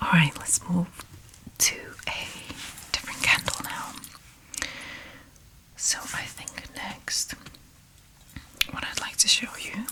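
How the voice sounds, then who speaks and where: Whispering at a very slow pace, a man leaves long, frequent pauses, his loudness swinging widely over noticeable background noise. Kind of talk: ASMR roleplay as a candle shop assistant. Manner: soft-spoken, whispering.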